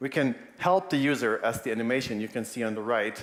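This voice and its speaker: At a moderate pace, a man talks in a plain, everyday voice. His pitch sits in the medium range. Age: 40s. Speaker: animator and UX designer. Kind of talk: conference talk. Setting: stage with audience.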